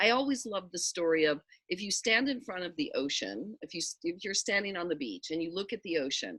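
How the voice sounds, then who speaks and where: A woman speaks at a medium pitch and a fairly quick pace, her pitch swinging very widely. Her tone is bright and sharp, and the recording is very clean, dry and close, with a silent background and no echo. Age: 60s. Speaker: spiritual teacher. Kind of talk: casual chat.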